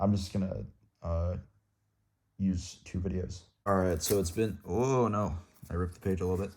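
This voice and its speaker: A man's voice is very deep and low, somewhat breathy, with a dark, mellow tone. His intonation stays fairly even. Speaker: student vlogger. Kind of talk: unscripted study vlog. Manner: slow; halting, many fillers and repetitions.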